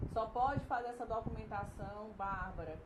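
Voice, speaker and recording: Audible room echo and noticeable background noise surround a woman with a fairly high pitch. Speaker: nutritionist and consultant. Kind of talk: live-streamed lecture. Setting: live stream.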